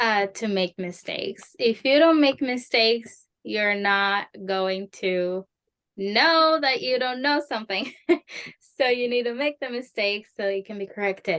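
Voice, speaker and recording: Speaking with a Spanish accent, a woman uses a fairly high pitch and ordinary pitch variation. Her pace is fairly slow. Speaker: Spanish conversation teacher. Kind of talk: interview advice.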